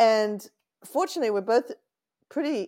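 A woman's dark, mellow tone in an Australian accent, with ordinary pitch variation. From Australia, Sydney (Lane Cove). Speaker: venture capital investor. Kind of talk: interview.

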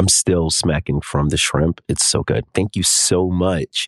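Ordinary pitch variation from a male speaker. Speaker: podcast host. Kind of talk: casual chat.

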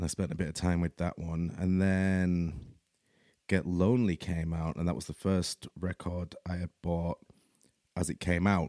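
A man's very deep, low voice with a Yorkshire accent and a dark, mellow tone, fairly even intonation and a moderate pace, on a very clean recording with a silent background and a dry, close sound with no echo. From Leeds, Yorkshire, England. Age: 30s. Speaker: podcast host. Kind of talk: casual monologue. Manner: hesitant, many fillers.

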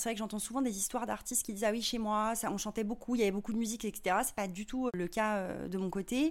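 A woman's fairly high voice at a very fast pace, with fairly even intonation and hardly any pauses. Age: 30s. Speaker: singer-songwriter and visual artist. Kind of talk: interview. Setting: in person at her home studio.

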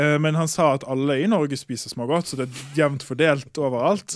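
A plain, everyday voice from a man, ordinary pitch variation, fairly quick pace. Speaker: chemist. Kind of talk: casual chat. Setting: studio.

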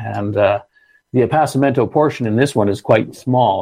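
Over a quiet background, a man talks at a fairly quick pace with vocal fry. His dark, mellow tone carries ordinary pitch variation. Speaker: sommelier. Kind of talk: casual interview chat.

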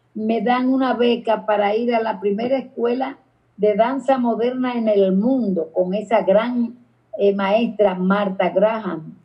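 A woman talks at a very slow pace in a somewhat breathy voice with fairly even intonation. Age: 80s+. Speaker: dance teacher and choreographer. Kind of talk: interview. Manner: halting, repeats words.

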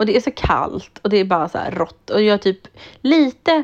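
A woman speaks at a moderate pace with lively intonation against a quiet background. She has a plain, everyday voice. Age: 30s. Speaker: podcast co-host. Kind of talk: casual chat.

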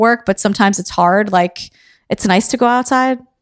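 Recorded very cleanly against a silent background, a woman with a normal speaking voice talks at medium pitch with fairly even intonation. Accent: American. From New York City, Queens. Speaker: podcast host. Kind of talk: casual interview.

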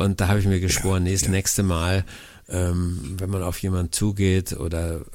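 A man talks at a moderate pace in a very deep, low pitch. His intonation stays fairly even. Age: 60s. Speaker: podcast co-host, life-simplification expert. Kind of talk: casual chat. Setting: remote connection.

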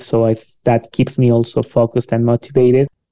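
This man's voice has a dark, mellow tone. He speaks at a moderate pace. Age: 40s. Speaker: business specialist and producer. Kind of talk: interview. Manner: cheerful, laughs often.

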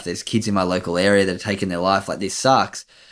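In a very clean recording with a silent background, a man with an Australian accent speaks in a monotone, flat intonation. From Australia, Sydney's Northern Beaches. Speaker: former pro surfer, mental health charity founder. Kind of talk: interview, personal story.

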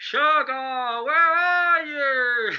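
A put-on character voice, pitched high. It shouts throughout. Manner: yelling, calling out.

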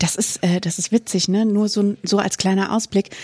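Recorded very cleanly against a silent background, with a dry, close sound and no echo, a woman speaks at a moderate pace in a medium pitch, her dark, mellow tone somewhat breathy and her intonation fairly even. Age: 30s. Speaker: teacher and podcast co-host. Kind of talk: casual chat.

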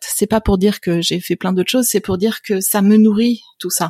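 A woman with a medium pitch and a dark, mellow, somewhat breathy tone speaks at a moderate pace with fairly even intonation. The recording is very clean with a silent background and a dry, close sound with no echo. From France, partly raised in Canada. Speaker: venture capital investor. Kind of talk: interview conversation.

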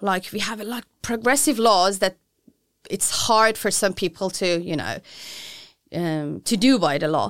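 Speaking with a Persian accent at a medium pitch, a woman uses lively intonation, big swings in loudness and long, frequent pauses at a moderate pace. The recording is very clean with a silent background. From Iran. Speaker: feminist activist. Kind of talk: interview. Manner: halting.

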